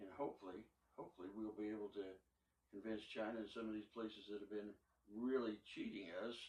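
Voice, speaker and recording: The speaker has a Midwestern US accent and a monotone, flat intonation. The delivery is very fast, broken by long, frequent pauses. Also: man, fairly low pitch for a man. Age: 80s+. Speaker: barber. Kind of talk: casual chat. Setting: barbershop.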